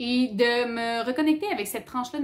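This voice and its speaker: A woman speaks with a fairly high pitch and ordinary pitch variation. Noticeable background noise can be heard. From Quebec, Abitibi-Témiscamingue (Rouyn-Noranda). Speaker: book YouTuber. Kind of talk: casual vlog talk. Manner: casual, many hesitations.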